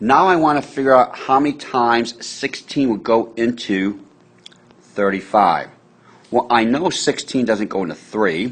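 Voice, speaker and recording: Speaking at a fairly slow pace, a man has an unremarkable speaking voice, a medium pitch and lively intonation. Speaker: math teacher. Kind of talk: tutorial.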